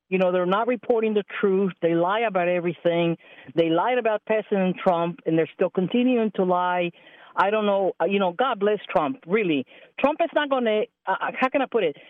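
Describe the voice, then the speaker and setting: An unremarkable speaking voice from a woman in an American accent, medium in pitch, fairly quick, with lively intonation and very even loudness. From Texas. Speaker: caller. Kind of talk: call-in opinion. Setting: phone call.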